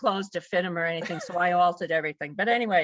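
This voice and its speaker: A woman's bright, sharp voice, dry and close with no echo. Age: 70s. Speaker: powerlifter, grandmother. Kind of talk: interview, casual chat. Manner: animated.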